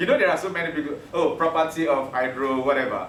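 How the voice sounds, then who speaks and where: With a Yoruba accent and an animated tone, a man speaks in a fairly high pitch with lively intonation, amid noticeable background noise and audible room echo. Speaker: teacher. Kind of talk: lecture.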